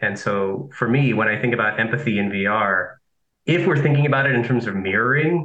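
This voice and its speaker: A man with a plain, everyday voice, medium-pitched, fairly quick, with ordinary pitch variation and very even loudness. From Nicaragua, raised in Southern California. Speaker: philosophy professor. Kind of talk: interview.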